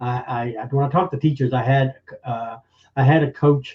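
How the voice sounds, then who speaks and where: A man at a fairly quick pace, somewhat breathy. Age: old. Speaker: magician. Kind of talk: testimony in podcast interview.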